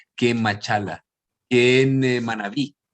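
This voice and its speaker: A man with a Chilean accent talks at a moderate pace and a medium pitch. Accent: Chilean Spanish, persistent. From Chile (raised), born in Guayaquil, Ecuador. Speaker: theatre performer and playwright. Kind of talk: interview conversation. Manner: hesitant, many fillers and repetitions.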